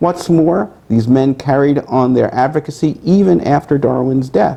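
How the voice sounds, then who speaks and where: His tone is dark and mellow, and his loudness stays very even. The man's intonation is lively. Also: medium pitch for a man. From US Northeast, Brooklyn, New York. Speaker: author. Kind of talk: reading aloud. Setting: bookstore event with audience. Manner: fast.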